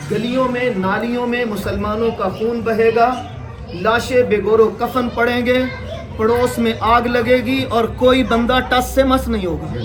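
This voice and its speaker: A man at an extremely high pitch in a monotone, flat delivery, with audible room echo and crowd noise behind him. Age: 60s. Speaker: Islamic cleric. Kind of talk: sermon. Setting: funeral gathering.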